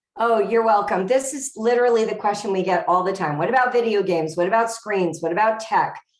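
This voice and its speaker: In an American accent, a woman with a fairly high voice speaks very fast with hardly any pauses and ordinary pitch variation, and audible room echo surrounds her. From US West Coast, Los Angeles area. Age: 50s. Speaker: author and homeschooling expert. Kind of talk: Q&A answers in an author talk. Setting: video call.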